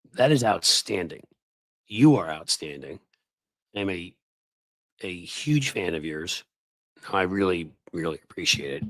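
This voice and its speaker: A man's very deep, low voice in a serious tone, with very wide pitch swings and long, frequent pauses. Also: fairly slow pace. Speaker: political commentator and livestream host. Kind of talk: casual livestream chat. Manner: hesitant, many fillers; sarcastic yet serious, goofing.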